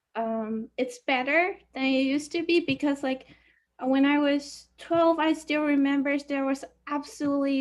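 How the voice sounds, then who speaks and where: The speaker has a Chinese accent. The pace is fairly slow and the intonation fairly even. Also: woman. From China. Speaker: university student. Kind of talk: class discussion. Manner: halting.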